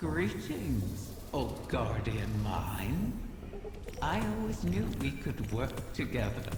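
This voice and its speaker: A put-on character voice at a very slow pace, with clear echo and loud background noise. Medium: machinima.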